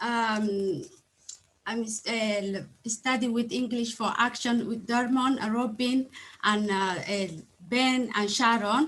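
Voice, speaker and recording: A woman speaks very slowly in a Somali accent, her pitch high and her pitch variation ordinary. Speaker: adult learner. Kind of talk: testimony. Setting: video call. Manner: halting.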